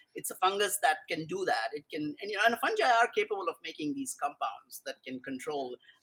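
A man with a high pitch and a bright, sharp tone speaks in a raised, projected voice, fairly quickly and with hardly any pauses. His pitch swings very widely and his loudness shifts in big swings. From India. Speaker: mycologist. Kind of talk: casual chat. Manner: halting, many repeated words.

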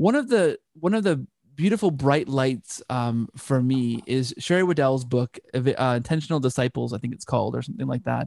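With a Canadian accent, a man speaks in an ordinary speaking voice at medium pitch and a moderate pace, using lively intonation and hardly any pauses, in a dry, close sound with no echo. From Canada. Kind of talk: casual interview chat. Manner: frequent word repetitions.

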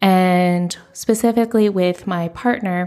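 Over music in the background, a woman with an American accent talks at medium pitch with fairly even intonation. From United States. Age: 30s. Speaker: podcast host. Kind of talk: solo podcast monologue. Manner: casual, chatty.

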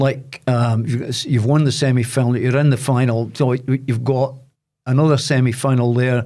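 On a very clean recording with a silent background, a man with a Dundee accent speaks in a dark, mellow tone with fairly even intonation. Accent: Dundee Scottish. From Scotland, Dundee. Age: 70s. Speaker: former boxer and sports presenter. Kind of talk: casual interview.

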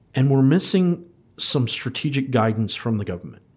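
A man with an American accent speaks at a moderate pace with lively intonation in a plain, everyday voice. The recording is very clean, with a silent background. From United States. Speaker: podcast host and IT professional. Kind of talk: casual interview conversation.

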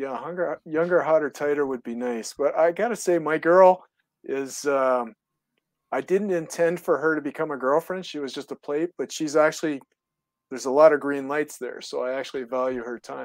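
This is an unremarkable speaking voice with ordinary pitch variation. The sound is dry and close, with no echo. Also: man, fairly high pitch for a man, moderate pace. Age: 60s. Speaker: caller. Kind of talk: call-in conversation.

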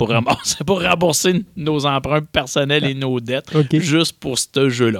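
A man's unremarkable speaking voice, fairly high in pitch, with ordinary pitch variation, a fairly slow pace and hardly any pauses. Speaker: board game publisher. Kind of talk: interview.

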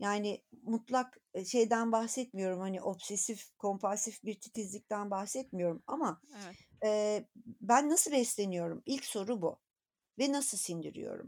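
The recording is very clean, with a silent background. A woman talks at a fairly slow pace, her fairly high pitch varying in an ordinary way. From Turkey, rural Anatolia. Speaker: gynecologist. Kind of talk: interview. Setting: podcast recording.

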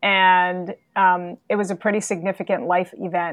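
Against a quiet background, a woman speaks in a medium pitch at a moderate pace, her intonation monotone and flat. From New York City. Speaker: executive leadership coach. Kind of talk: interview.

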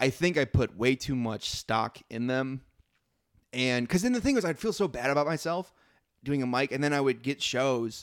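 Recorded dry and close with no echo, a man with an American accent and an unremarkable speaking voice talks at medium pitch and a moderate pace, with ordinary pitch variation. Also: very clean recording, silent background. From US Midwest. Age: 30s. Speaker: comedian. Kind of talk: casual chat.

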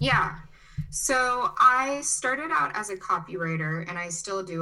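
Lively intonation from a woman, noticeable background noise behind her. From US Midwest, Chicago (born in Brazil). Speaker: agency owner, digital nomad. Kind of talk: interview.

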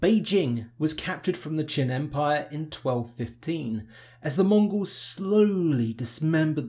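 With a fairly high pitch and lively intonation, a man speaks somewhat breathily on a very clean recording with a silent background. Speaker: podcast host, history narrator. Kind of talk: history documentary narration, scripted. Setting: solo recording, podcast. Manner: formal, measured; steady, authoritative storytelling pace.

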